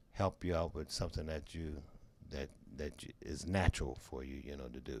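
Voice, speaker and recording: A man with a very deep, low pitch and vocal fry talks at a moderate pace, with ordinary pitch variation and big swings in loudness. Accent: American. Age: 70s. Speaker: jazz drummer. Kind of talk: interview.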